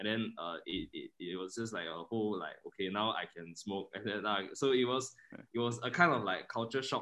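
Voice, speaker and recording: Talking at a fairly quick pace, a man has a normal speaking voice, fairly low in pitch, with ordinary pitch variation. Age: 20s. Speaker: student and filmmaker. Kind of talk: casual chat.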